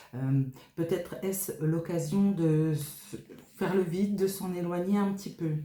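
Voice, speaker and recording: A woman speaks very slowly in a fairly low, somewhat breathy voice. Her tone is dark and mellow, with ordinary pitch variation. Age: 50s. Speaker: tarot card reader / medium. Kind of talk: tarot reading monologue. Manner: halting, many hesitations.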